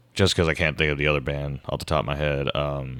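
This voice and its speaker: Vocal fry runs through this man's very deep, low pitch. His intonation stays fairly even. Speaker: guitarist and singer. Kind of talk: casual chat. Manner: hesitant, many fillers.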